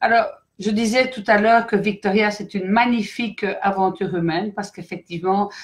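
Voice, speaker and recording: With a Belgian accent, a woman speaks at a moderate pace in a medium pitch and fairly even intonation. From Belgium. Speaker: company director. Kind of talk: live stream presentation. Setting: online live stream. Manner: hesitant, many fillers.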